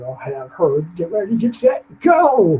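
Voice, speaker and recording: The man's tone is dark and mellow. His pitch swings very widely. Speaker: motivational speaker. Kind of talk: webinar presentation. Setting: online webinar. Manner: fast.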